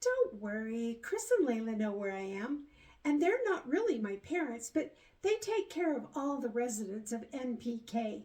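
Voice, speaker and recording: Putting on a character voice, a woman talks at a moderate tempo in a high register. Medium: read story. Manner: eager, sweet.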